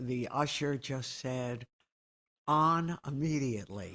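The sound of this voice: A woman at a slow pace, fairly bright in tone, with ordinary pitch variation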